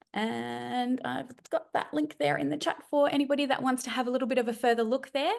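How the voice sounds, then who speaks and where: Talking at a fairly quick pace with hardly any pauses, a woman with an Australian accent has a high pitch and ordinary pitch variation. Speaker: webinar host. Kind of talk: sales pitch. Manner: fast.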